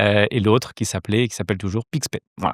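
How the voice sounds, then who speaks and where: A man with a fairly low pitch speaks with fairly even intonation. The recording is very clean, with a silent background and a dry, close sound with no echo. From southeastern France (Côte d'Azur, near Nice). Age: 40s. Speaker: entrepreneur. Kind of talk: interview. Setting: studio. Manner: hesitant, many fillers.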